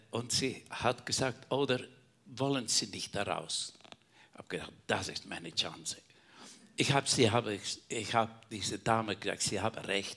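This man has a normal speaking voice with ordinary pitch variation. He talks at a moderate pace. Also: medium pitch for a man. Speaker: caregiver, church member. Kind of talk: personal testimony in panel talk.

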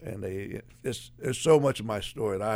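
A man talks at a moderate pace in a fairly low voice. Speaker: ex-convict sharing testimony. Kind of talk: testimony. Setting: studio.

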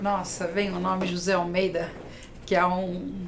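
Her intonation is monotone and flat, at a medium pitch for a woman. There is audible room echo around the voice. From Brazil, São Paulo (Itaquera). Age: 50s. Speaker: HR business founder. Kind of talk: podcast interview.

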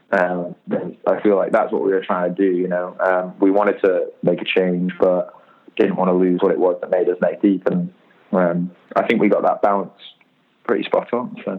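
Music plays behind a man who talks at a moderate speed. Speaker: rock band singer. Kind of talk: casual interview.

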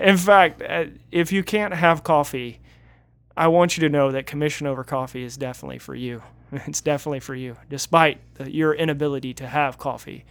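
A man with an ordinary speaking voice, fairly high in pitch, talks at a fairly quick pace with ordinary pitch variation and big swings in loudness, in a very clean recording with a silent background. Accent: American. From Northeast Florida. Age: 30s. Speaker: pastor. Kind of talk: casual chat.

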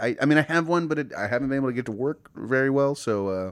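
In a very clean recording with a silent background, a man with an American accent talks at a very fast pace with ordinary pitch variation. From California, Bay Area. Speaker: podcast co-host. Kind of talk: casual chat.

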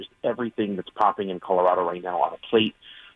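A man talks at a fairly low pitch in a plain, everyday voice. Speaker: chef. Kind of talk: casual radio interview. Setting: phone call.

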